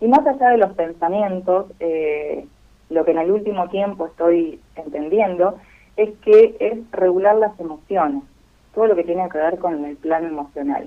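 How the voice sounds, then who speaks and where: The woman talks fairly slowly, her medium-pitched voice showing ordinary pitch variation. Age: 40s. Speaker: freediving athlete. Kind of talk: interview. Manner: hesitant, many fillers.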